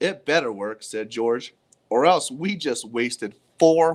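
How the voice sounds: Lively intonation in a natural reading voice, quiet background behind it.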